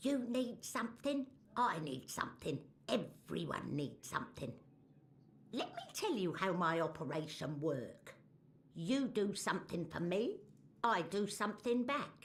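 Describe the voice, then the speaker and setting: This is a put-on character voice pitched fairly high. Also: moderate pace. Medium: video game. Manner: broken grammar, refers to herself as the mole.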